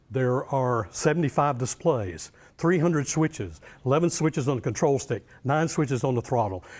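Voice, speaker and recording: A man is speaking at a fairly slow pace. The background is quiet. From US South, Western North Carolina. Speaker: professor. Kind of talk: lecture.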